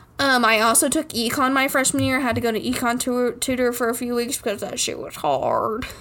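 Over noticeable background noise, a woman speaks fairly quickly at a high pitch with hardly any pauses. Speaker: college student podcast co-host. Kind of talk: casual chat. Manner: animated.

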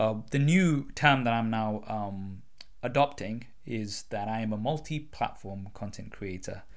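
Here a man speaks with a British accent at a medium pitch. His pace is fairly slow and his pitch varies in an ordinary way. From UK. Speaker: podcast host. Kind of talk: casual chat.

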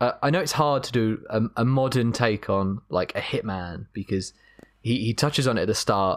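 The recording is very clean, with a silent background. An ordinary speaking voice keeps a moderate pace and ordinary pitch variation. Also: man, medium pitch for a man. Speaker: film podcast co-host. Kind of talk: casual chat.

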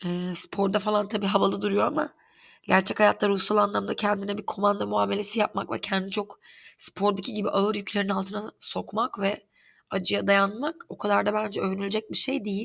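Vocal fry runs through fairly even intonation at a fairly quick pace on a very clean recording with a silent background. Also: woman, medium pitch for a woman. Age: 30s. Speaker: podcast host. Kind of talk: personal monologue. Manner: halting, many fillers.

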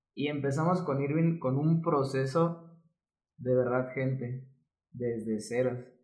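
Against audible room echo, a man talks at a very slow pace and medium pitch with fairly even intonation. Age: 20s. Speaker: fitness coach and physiotherapist. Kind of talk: casual interview chat.

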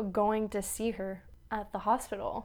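Fairly even intonation comes from an ordinary speaking voice. The pace is fairly slow. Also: woman. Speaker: podcast co-host. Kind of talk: casual chat.

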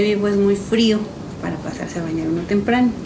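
Noticeable background noise and audible room echo surround the voice. A woman speaks fairly quickly. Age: 30s. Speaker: mother and caregiver. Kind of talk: testimony.

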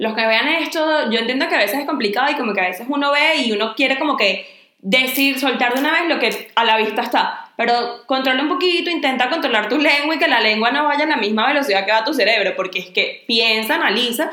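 Raising and projecting her high voice, a woman with a Venezuelan accent talks at a very fast pace with lively intonation, amid noticeable background noise and audible room echo. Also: hardly any pauses, very even loudness. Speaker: podcast co-host. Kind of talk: casual chat.

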